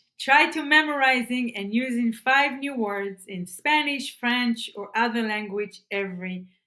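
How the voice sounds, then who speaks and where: A woman with an Israeli accent speaks at a very slow pace. Her fairly high voice has a bright, sharp tone. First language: Hebrew. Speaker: self-improvement vlogger. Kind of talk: tutorial. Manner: halting, repeats words; enthusiastic.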